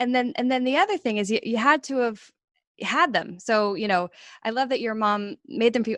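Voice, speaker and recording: A woman speaks in an ordinary speaking voice at a fairly high pitch and fairly quick pace, with ordinary pitch variation. The sound is dry and close with no echo, over a quiet background. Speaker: podcast host. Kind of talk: casual conversation.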